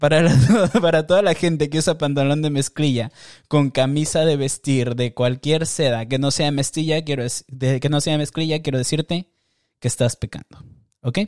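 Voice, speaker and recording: Recorded very clean with a silent background and a dry, close sound with no echo, a man with an ordinary speaking voice talks at a moderate pace, fairly high in pitch with ordinary pitch variation. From Mexico, Tijuana border. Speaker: podcast host. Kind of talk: casual monologue with video reactions.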